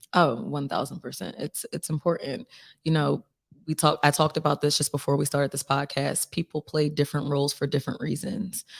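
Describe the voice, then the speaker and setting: Fairly quick speech with ordinary pitch variation, in a very clean recording with a silent background and a dry, close sound with no echo. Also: woman, very deep, low pitch for a woman. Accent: Philadelphia. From Philadelphia, US. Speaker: singer-songwriter. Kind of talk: casual interview.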